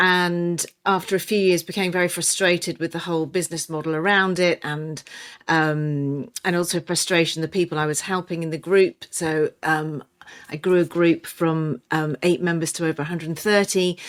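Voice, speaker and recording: A woman speaks with an English accent at a fairly low pitch. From England. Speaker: nutrition and weight loss coach. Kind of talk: podcast interview. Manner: halting, many fillers.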